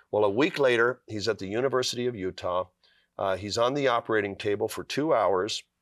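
A normal speaking voice with ordinary pitch variation. The sound is dry and close with no echo, in a very clean recording over a silent background. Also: man, medium pitch for a man, fairly quick pace. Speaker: author.

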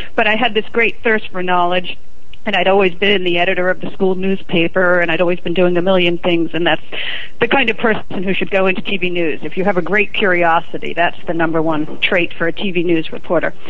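At a fairly quick pace, a woman speaks at a medium pitch with fairly even intonation and very even loudness, amid audible room echo and noticeable background noise. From New York City (Manhattan). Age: 50s. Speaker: TV news reporter. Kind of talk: interview. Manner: talkative.

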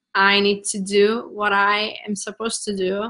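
A woman's medium-pitched, bright, sharp voice with a Turkish accent, at a fairly slow pace. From Turkey. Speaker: marketing coach. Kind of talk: interview.

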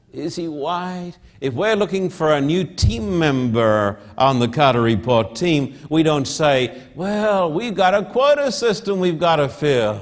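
Speaking at a fairly slow pace, a man uses a fairly high voice with very wide pitch swings. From Australia. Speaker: pastor. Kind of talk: sermon. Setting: church with audience, televised. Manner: emphatic, repetitive.

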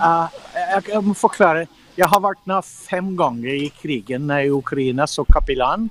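An unremarkable speaking voice at a fairly slow pace, with ordinary pitch variation and a dry, close sound with no echo. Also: man. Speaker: missionary aid worker. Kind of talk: interview. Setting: video call.

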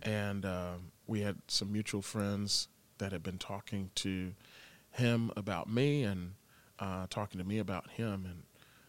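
Fairly even in intonation, a normal speaking voice proceeds at a fairly slow pace. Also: man, very clean recording, silent background. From Florida, Tampa. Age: 20s. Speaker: worship pastor. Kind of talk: casual interview, personal testimony.

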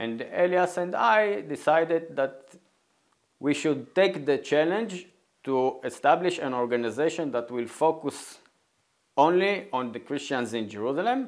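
In an Israeli accent, a man speaks with lively intonation and a fairly high pitch. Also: fairly slow pace. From northern Israel, Galilee. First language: Hebrew. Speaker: nonprofit co-founder. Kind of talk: interview.

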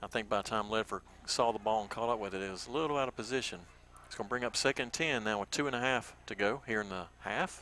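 This man talks very fast in a Southern US accent, his tone bright and sharp. His pitch is medium, with ordinary variation. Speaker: radio play-by-play announcer. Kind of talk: live sports commentary. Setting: stadium press box.

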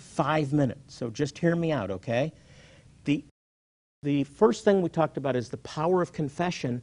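An animated tone and lively intonation carry along at a moderate pace over a quiet background. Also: man, fairly high pitch for a man. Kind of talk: passioned sermon-style Bible teaching with a promotional intro. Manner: fervent, animated, emphatic.

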